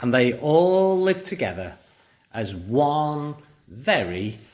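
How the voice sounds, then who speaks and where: Speaking at a very slow pace, a man takes long, frequent pauses and makes very wide pitch swings. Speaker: primary school teacher. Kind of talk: storytelling; school assembly talk. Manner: animated; whispering.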